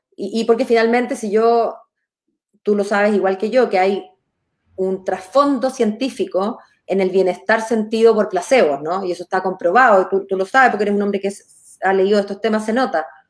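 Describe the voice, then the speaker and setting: The speaker has a Chilean accent and talks at a moderate pace. Pitch variation is ordinary. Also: woman, medium pitch for a woman. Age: 40s. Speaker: lawyer and political candidate. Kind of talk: interview.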